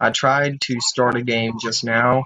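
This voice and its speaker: Over light background noise, a man talks at a fairly slow pace with fairly even intonation in a dry sound with no echo. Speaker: gamer. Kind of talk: let's play commentary. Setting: home recording. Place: home room. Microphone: webcam.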